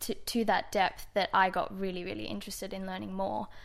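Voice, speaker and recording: Speaking at a moderate pace in an Australian accent, a woman is heard on a very clean recording with a silent background. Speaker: wine importer. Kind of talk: wine tasting chat.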